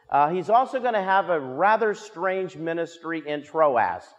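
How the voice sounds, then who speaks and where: A man speaks at a fairly slow pace, with a quiet background behind him. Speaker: pastor teaching Bible study. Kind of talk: sermon. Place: church. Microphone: lapel.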